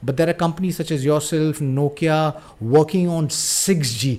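Over noticeable background noise, a man with a fairly high voice talks at a moderate pace. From India. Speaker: podcast host. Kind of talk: interview. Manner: halting, repeats words.

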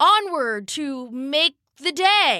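Woman's put-on character voice, high in pitch with very wide pitch swings

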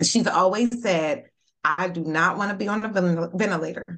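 This is a plain, everyday voice. The woman speaks at a medium pitch with ordinary pitch variation. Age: 40s. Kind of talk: casual chat.

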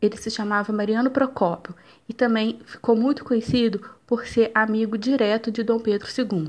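A woman has a plain, everyday voice at a fairly high pitch. She talks at a moderate pace with fairly even intonation. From Brazil, Minas Gerais (Juiz de Fora). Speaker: university student. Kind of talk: student presentation, scripted narration.

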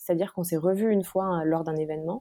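A woman talks at a very fast pace with a fairly low pitch and a dark, mellow tone. The sound is dry and close, with no echo. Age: 30s. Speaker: author and screenwriter, stepmother. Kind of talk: casual interview chat. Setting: podcast interview. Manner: hesitant with fillers.

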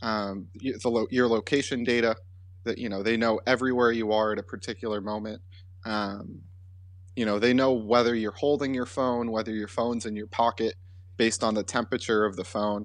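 A man's normal speaking voice, fairly low in pitch, with fairly even intonation at a moderate pace against a quiet background. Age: 20s. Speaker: podcast co-host. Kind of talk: casual chat.

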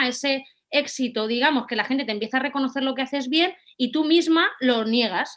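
A woman with a high-pitched voice speaks with lively intonation. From Spain, Valencia. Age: 30s. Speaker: content creator and office worker. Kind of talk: interview.

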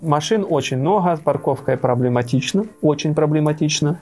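Somewhat breathy man at a fairly high pitch, moderate pace and ordinary pitch variation. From Donetsk, eastern Ukraine. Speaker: emigrant, former factory director. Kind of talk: interview.

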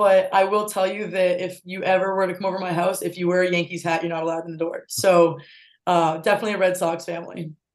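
This is a woman with an American accent and a plain, everyday voice. She speaks at a fairly quick pace and a medium pitch. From Massachusetts, North Attleborough. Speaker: college lacrosse player. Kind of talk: casual interview.

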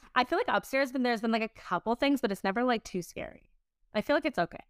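Animated and lively in intonation, a woman speaks fairly quickly in a high voice. The recording is very clean and dry, close with no echo and a silent background. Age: 20s. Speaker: podcast host, entrepreneur. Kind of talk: casual chat.

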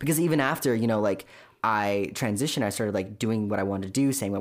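Speaking at a very fast pace, a man with a Californian accent has a fairly low pitch, captured on a very clean recording with a silent background. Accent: Californian American. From Southern California, Orange County. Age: 20s. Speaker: podcast guest sharing personal story. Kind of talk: casual interview testimony. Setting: studio, in person.

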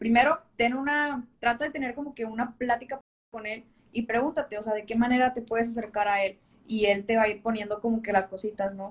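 This woman has an unremarkable speaking voice with a fairly high pitch. She talks at a fairly quick pace. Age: 20s. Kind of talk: casual interview on a livestream.

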